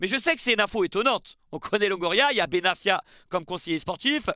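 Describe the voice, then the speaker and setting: Lively intonation marks a man's fairly quick speech. The sound is dry with no echo against a quiet background. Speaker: football YouTuber; football news youtuber. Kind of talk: casual video commentary. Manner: chatty, with fillers. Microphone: headset.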